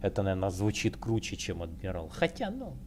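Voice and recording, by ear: A man talks at a fast pace in a low pitch. His pitch swings very widely.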